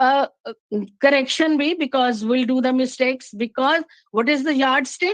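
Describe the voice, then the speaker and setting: A woman with a Punjabi Indian accent, high pitch and a fairly slow pace. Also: dry, close sound with no echo. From Punjab, India. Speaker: English literature teacher. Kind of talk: academic talk. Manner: halting, many fillers.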